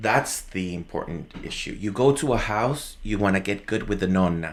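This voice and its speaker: A man with a Spanish accent talks at a moderate pace and fairly low pitch with ordinary pitch variation. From Venezuela. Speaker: podcast guest. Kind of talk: casual chat. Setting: live recording. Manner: halting, many fillers.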